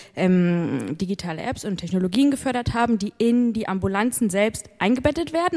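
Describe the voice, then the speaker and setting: A woman with a fairly high pitch and lively intonation, an unremarkable speaking voice. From northern Germany, Hamburg. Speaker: innovation fund manager. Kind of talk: live stage interview. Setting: stage with audience.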